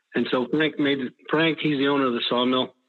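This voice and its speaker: An unremarkable speaking voice from a man, medium in pitch. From Northern California, Weaverville. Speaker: log procurement forester. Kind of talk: interview.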